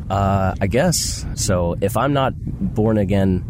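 Amid audible room echo and noticeable background noise, a man speaks in a very deep, low voice with ordinary pitch variation. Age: young. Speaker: student. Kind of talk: street interview.

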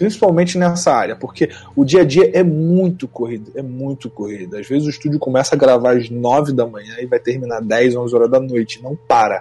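A man's somewhat breathy, dark, mellow voice at medium pitch, fairly quick with hardly any pauses and lively intonation. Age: 20s. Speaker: voice actor and music producer. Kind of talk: interview.

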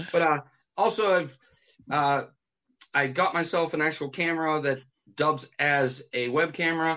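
Long, frequent pauses break up a man's moderate pace as he speaks at a fairly high pitch, his intonation fairly even and his loudness very even. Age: 40s. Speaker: musician and radio host. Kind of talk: casual chat.

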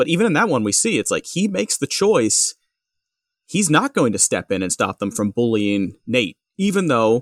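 The voice swings very widely in pitch and carries vocal fry. The sound is dry and close, with no echo. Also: man. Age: 30s. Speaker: podcast guest. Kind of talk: casual chat.

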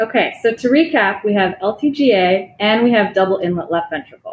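A woman with an American accent uses an unremarkable speaking voice at medium pitch with lively intonation. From Chicago, US Midwest. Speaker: cardiology fellow. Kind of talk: medical case presentation.

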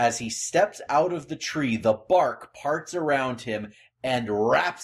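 Someone reading aloud in a natural voice, full of lively intonation

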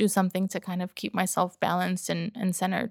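On a very clean recording with a silent background, a woman with a normal speaking voice talks at a fairly quick pace and medium pitch, the sound dry and close with no echo. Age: 30s. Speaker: podcaster and business owner. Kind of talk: casual interview chat.

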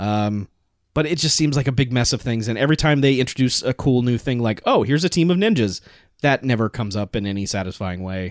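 Against a quiet background, a man with a medium pitch talks at a very fast pace with lively intonation. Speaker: podcast co-host. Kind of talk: casual chat. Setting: studio.

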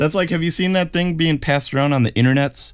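An unremarkable speaking voice from a man, at a fairly quick pace with ordinary pitch variation. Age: 30s. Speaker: amateur runner podcast co-host. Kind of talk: casual chat. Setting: remote recording.

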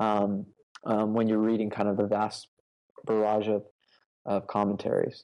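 With a dark, mellow tone and fairly low pitch, a man talks at a moderate pace in a flat monotone, leaving long, frequent pauses. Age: 30s. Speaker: pastor. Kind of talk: interview about preaching.

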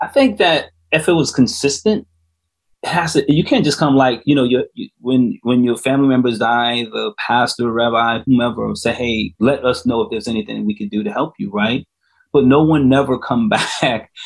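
Speaking at a moderate pace in an American accent, a man uses an unremarkable speaking voice with medium pitch and ordinary pitch variation. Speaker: author and re-entry coach. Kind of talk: interview testimony.

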